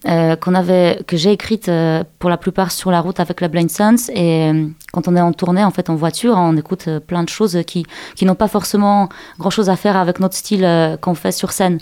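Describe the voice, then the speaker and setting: A woman's fairly low, dark, mellow voice with a Polish accent, fairly quick pace, fairly even intonation and very even loudness. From Poland. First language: Polish (speaking French). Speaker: singer. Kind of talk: radio interview. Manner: halting.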